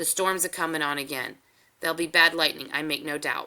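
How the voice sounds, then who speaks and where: In a put-on character voice with a rural American accent, the raspy speaker talks at a fairly quick pace and a middle pitch on a very clean recording with a silent background. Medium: read story. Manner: dry, laconic.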